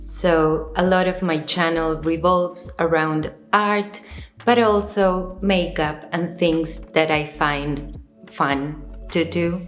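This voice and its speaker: Over audible room echo, a woman with an Argentine accent speaks at a very slow pace in a fairly low pitch with fairly even intonation. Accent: Spanish-speaking Argentine accent in English. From Argentina. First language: Spanish. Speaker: visual artist and video creator. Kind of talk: video essay while crafting. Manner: careful, somewhat stiff delivery.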